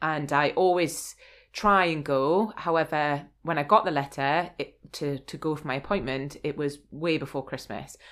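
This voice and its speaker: The recording is very clean, with a silent background. A woman with a very deep, low pitch speaks at a moderate pace with ordinary pitch variation. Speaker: podcast host. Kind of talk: casual interview chat.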